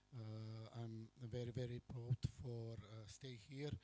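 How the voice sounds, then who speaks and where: A man's medium-pitched voice with a non-native accent, a dark, mellow tone and monotone, flat intonation. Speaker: foreign businessman. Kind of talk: formal address. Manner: halting.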